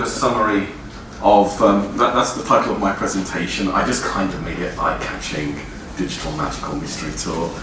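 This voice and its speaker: A man with a fairly low pitch speaks amid noticeable background noise and audible room echo. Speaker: library digital program manager giving public talk. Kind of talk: public lecture. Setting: stage with audience. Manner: fast; hesitant with many fillers.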